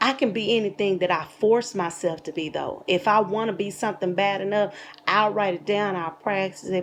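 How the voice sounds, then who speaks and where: Her intonation fairly even, a woman of medium pitch talks at a moderate pace. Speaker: YouTube commentator. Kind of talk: casual commentary monologue. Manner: soft-spoken.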